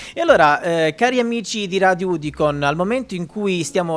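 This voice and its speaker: Pitched fairly high, a man's voice swings very widely up and down. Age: 20s. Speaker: radio host. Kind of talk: radio interview.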